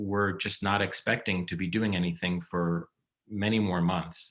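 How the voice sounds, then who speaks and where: A man with a fairly low pitch speaks at a fairly slow pace with an American accent, in a plain, everyday voice. The recording is very clean, with a silent background. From New York. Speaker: stage director and former opera singer. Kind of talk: interview.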